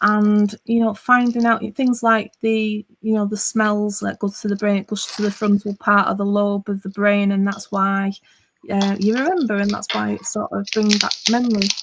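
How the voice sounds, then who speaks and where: Monotone, flat intonation marks this somewhat breathy woman's voice, pitched in the medium range and delivered at a moderate pace. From northwest England, near Liverpool. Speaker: online craft video creator. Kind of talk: casual chat.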